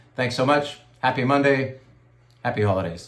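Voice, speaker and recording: Audible room echo surrounds a man speaking in a medium pitch with ordinary pitch variation. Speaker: wine shop owner. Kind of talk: casual video update to customers.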